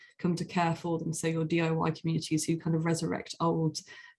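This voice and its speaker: Speaking at a fairly quick pace, a woman has a fairly low, somewhat breathy voice. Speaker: museum researcher. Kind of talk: conference presentation. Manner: fast; hesitant, many fillers.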